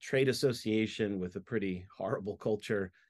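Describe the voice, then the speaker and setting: A man with a fairly low pitch speaks in a normal speaking voice at a moderate pace with ordinary pitch variation, recorded dry and close with no echo against a quiet background. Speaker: author and business consultant. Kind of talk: interview.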